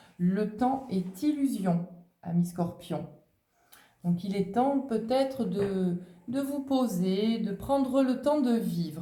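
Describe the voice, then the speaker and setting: Speaking very slowly with long, frequent pauses, a woman uses lively intonation at medium pitch. Audible room echo surrounds her voice. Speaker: tarot and oracle card reader. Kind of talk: oracle card reading.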